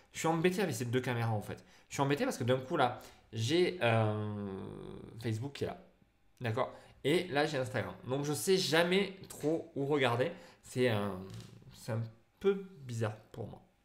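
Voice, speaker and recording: Audible room echo surrounds a man speaking at a fairly slow pace. His intonation is lively, broken by long, frequent pauses. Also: medium pitch for a man. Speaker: photographer and photography teacher. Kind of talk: live stream Q&A. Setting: live stream on Facebook and Instagram. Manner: hesitant, many fillers.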